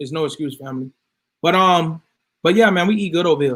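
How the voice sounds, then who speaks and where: Loud and high-pitched, a man speaks at a moderate pace with ordinary pitch variation on a very clean recording with a silent background. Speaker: health products video host. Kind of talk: casual talk to viewers.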